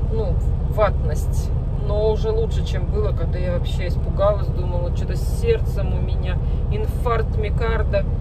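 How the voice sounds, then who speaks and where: A woman speaks at a moderate pace over loud background noise, the sound dry with no echo. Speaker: truck driver vlogger. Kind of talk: casual vlog chat. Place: car. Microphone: phone near.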